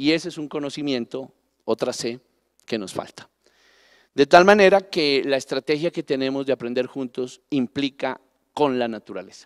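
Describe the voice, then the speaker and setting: A man speaks at a moderate pace and a fairly high pitch, with ordinary pitch variation, big swings in loudness, and a quiet background. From Colombia, Pasto (Nariño). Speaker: national parks director. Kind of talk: panel talk. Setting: stage with audience. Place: stage. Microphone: handheld.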